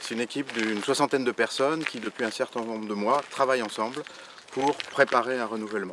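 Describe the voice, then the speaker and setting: Noticeable background noise runs behind a man talking at a very fast pace. His pitch is medium and his intonation fairly even. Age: 60s. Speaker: local election candidate. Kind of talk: campaign presentation. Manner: hesitant, many fillers and repetitions.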